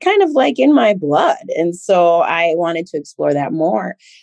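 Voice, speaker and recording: A woman with an American accent speaks slowly-ish in a fairly low, dark, mellow voice, with a dry, close sound and no echo. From Minnesota. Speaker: teacher and diversity trainer. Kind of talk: interview conversation.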